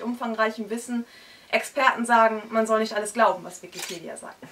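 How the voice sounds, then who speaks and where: A woman speaks at a high pitch and a moderate pace. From northern Germany, Hamburg area; northern Germany. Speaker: slam poet. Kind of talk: poetry slam performance. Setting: stage with audience in a bookshop. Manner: rhythmic. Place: shop.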